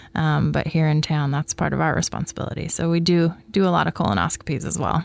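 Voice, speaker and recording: Speaking in an American accent, the woman keeps up a fairly brisk tempo. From US Pacific Northwest (Coquille, Oregon). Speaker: general surgeon. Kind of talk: health interview.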